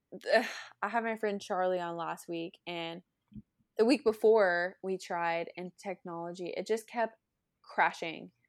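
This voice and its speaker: In an ordinary speaking voice with an American accent, a woman talks at a fairly slow pace and medium pitch, her intonation fairly even but her loudness swinging widely, in a very clean, dry, close recording with a silent background and no echo. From US South, northern Florida. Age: 20s. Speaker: country singer-songwriter. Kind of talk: casual interview chat.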